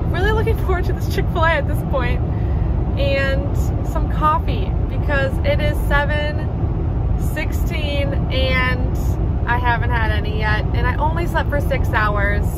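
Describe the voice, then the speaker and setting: A woman talks at a fairly slow pace, the sound dry with no echo, over loud background noise. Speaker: vlogger on a solo road trip. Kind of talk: casual vlog chat. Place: car. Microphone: phone near.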